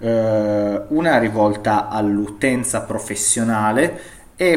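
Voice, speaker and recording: Ordinary pitch variation marks this man's fairly low voice. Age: 30s. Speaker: IT consultant, digital forensics. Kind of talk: interview. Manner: halting, many fillers.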